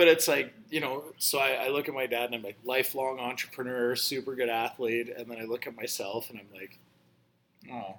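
This man has a plain, everyday voice at a medium pitch, talking fairly quickly with fairly even intonation but big swings in loudness. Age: 40s. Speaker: bartender and teacher. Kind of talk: casual chat.

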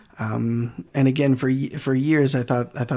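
Fairly even in intonation, a man talks at a fairly slow pace. He has an American accent. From Michigan, US Midwest. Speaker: physical therapist. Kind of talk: casual chat.

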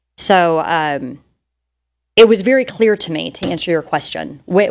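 This voice has an American accent, lively intonation and some vocal fry. The pace is moderate. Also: woman. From South Texas. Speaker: real estate agent. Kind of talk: interview. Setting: studio.

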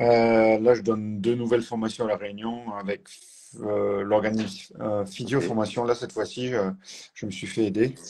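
This man's fairly low voice has a dark, mellow tone and a flat, monotone delivery. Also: moderate pace. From southern France, Tarn near Toulouse. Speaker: physiotherapist and trainer. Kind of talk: casual interview.

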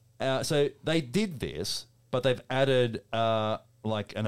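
Speaking at a very slow pace with ordinary pitch variation, this voice has an Australian accent. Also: man. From Melbourne, Australia. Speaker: podcast host. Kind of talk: casual chat with banter. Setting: studio.

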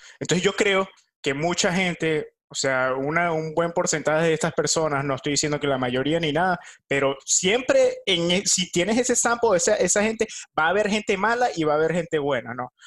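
A high-pitched man speaks at a moderate pace with lively intonation. The recording is very clean, with a silent background. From Venezuela. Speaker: podcast co-host. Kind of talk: casual chat.

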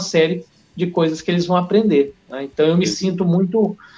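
Music plays in the background as a man speaks at a high pitch and a moderate pace, with ordinary pitch variation. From Porto Velho, Rondônia, northern Brazil. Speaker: biologist and bushcraft content creator. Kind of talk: casual podcast interview.

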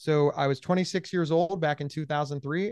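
A man's unremarkable speaking voice with ordinary pitch variation, dry and close with no echo, over a quiet background. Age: 40s. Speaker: podcaster and mental health advocate. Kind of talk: interview.

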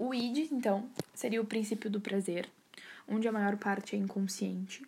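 A woman's somewhat breathy voice in a dark, mellow tone. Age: 20s. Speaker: psychology student. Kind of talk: recorded class assignment podcast. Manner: casual, chatty.

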